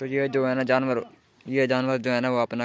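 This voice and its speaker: A man is speaking. The sound is dry with no echo. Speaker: village vlogger. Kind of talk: casual vlog chat. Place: open country. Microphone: phone near.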